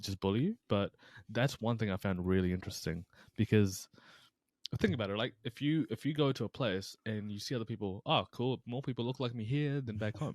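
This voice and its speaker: In a very clean recording with a silent background and a dry, close sound with no echo, a man with a New Zealand accent speaks at a moderate pace, his medium pitch showing ordinary variation. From New Zealand, Taranaki (Hāwera); born in Pakistan. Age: 20s. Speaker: personal trainer and mental health coach. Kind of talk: podcast interview. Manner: casual, halting with fillers.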